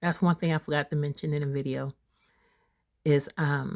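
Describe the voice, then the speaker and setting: A woman's very deep, low voice with fairly even intonation, dry and close with no echo, in a very clean recording with a silent background. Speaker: spiritual content creator. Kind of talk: casual vlog talk. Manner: halting, self-interrupting.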